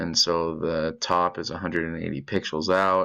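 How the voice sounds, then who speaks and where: Fairly slow and very deep in pitch, a man's voice carries a bright, sharp tone. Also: quiet background. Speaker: student presenting coding project. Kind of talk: screen-recorded tutorial. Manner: casual with filler words.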